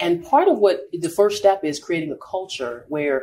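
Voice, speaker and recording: A woman's fairly low pitch and lively intonation, with noticeable background noise. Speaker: marketing and sales executive. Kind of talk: casual interview. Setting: live at a store.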